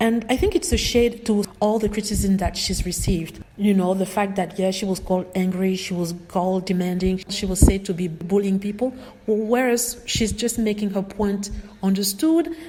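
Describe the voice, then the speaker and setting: A woman speaks at a moderate pace with a medium pitch. Her pitch varies in an ordinary way, and background noise is noticeable. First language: not English. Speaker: video blogger. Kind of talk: casual commentary vlog.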